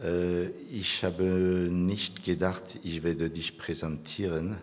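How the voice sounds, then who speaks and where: In a room with audible echo, a man with a non-native accent speaks at a very slow pace, his very deep, low voice monotone and flat. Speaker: church conference host. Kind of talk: conference welcome speech with prayer. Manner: halting, hesitant.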